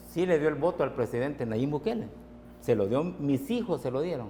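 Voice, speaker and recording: Very wide pitch swings from a man with a dark, mellow tone. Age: 60s. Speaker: transport sector organizer. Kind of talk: TV interview.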